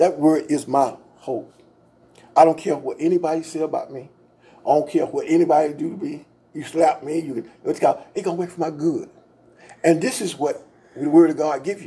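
A man at a fairly high pitch with a dark, mellow tone, fairly even intonation, big swings in loudness, a fairly quick pace and long, frequent pauses. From US South, Georgia. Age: 70s. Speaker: pastor and local historian; pastor. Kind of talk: interview about local history. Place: studio. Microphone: studio mic.

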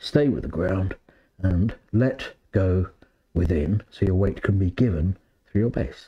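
A man's very deep, low voice, warm, dark and mellow, somewhat breathy, at a fairly slow pace with ordinary pitch variation. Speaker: yoga teacher. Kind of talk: live-streamed yoga talk; tutorial. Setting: live video stream. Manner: warm, rambling, hesitant with fillers. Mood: calm, slow guiding. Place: home room.

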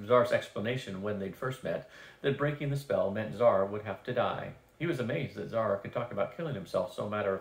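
The passage comes in an unforced reading voice.

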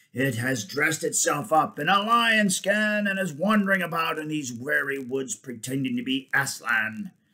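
This is a put-on character voice with a bright, sharp tone. The intonation is lively. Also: man, fairly high pitch for a man, moderate pace.

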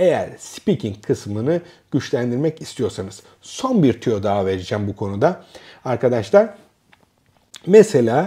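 A somewhat breathy man speaks in a dark, mellow tone at a fairly slow pace. His pitch swings very widely over a quiet background. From Turkey. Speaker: academic and educational youtuber; educational youtuber. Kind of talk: casual educational monologue. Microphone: lapel.

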